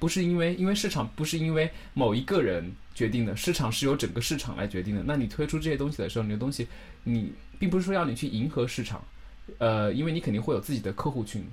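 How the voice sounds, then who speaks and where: Speaking at a very fast pace, a man with a medium pitch makes very wide pitch swings. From northern China. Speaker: internet radio host. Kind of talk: casual interview.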